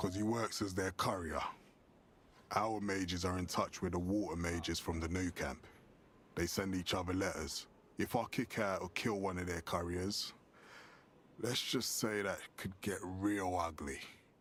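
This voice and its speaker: Using a gruff, put-on character voice with a very deep, low pitch, a man speaks at a moderate pace with long, frequent pauses over clear background noise. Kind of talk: video game voice acting. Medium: video game. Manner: gruff, blunt, dismissive.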